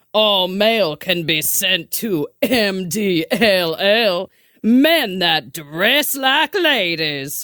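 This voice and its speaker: A woman does a put-on character voice at medium pitch, very slowly and at very even loudness, with very wide pitch swings. The recording is very clean, with a silent background. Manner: sassy.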